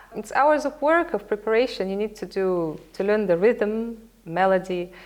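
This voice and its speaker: Lively intonation at a moderate pace, with a Russian accent. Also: woman, fairly high pitch for a woman. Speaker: opera singer. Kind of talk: interview. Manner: halting.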